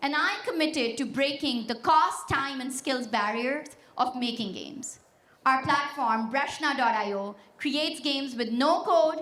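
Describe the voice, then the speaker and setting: With a Pashto accent, a woman speaks at high pitch and a fairly slow pace. Her pitch variation is ordinary, and the room echo is audible. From Pakistan. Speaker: tech startup founder. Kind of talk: keynote speech. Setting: stage with audience. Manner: energetic, confident.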